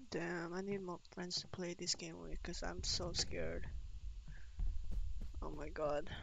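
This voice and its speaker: A woman speaking at a fairly slow pace with long, frequent pauses, dry sound with no echo, and noticeable background noise. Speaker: game streamer. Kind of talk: casual gameplay commentary. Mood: scared, nervous. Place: home room. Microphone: headset.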